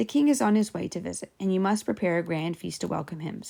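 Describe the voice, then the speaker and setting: Putting on a character voice, a woman talks very fast in a raspy, medium-pitched voice. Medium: read story. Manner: smooth, persuasive.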